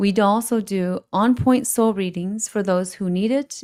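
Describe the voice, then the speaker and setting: A woman with a dark, mellow tone speaks at a medium pitch and a moderate pace. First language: Hmong. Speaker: shaman, spiritual advisor. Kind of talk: live call-in show introduction. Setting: live stream. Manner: halting, self-correcting.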